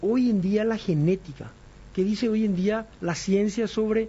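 Words come from a man at a fairly slow pace. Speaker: doctor and radio health show host. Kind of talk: radio health talk show.

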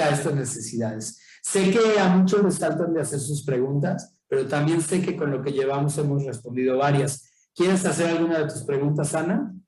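There's audible room echo around this man's fairly high, somewhat breathy voice, which has ordinary pitch variation. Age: 50s. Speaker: urban planning official, guest lecturer. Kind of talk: guest lecture.

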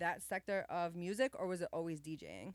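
Talking at a fairly quick pace, a woman has a plain, everyday voice at medium pitch. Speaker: podcast and radio host. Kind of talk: interview. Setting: radio studio.

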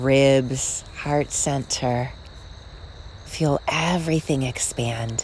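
A woman speaks at a very slow pace in a soothing, calm tone. Her pitch is very deep and low, and her intonation is fairly even. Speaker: meditation guide and podcast host. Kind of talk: guided meditation. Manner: slow, soothing, calm and gently paced with long pauses; soft-spoken, warm and reassuring.

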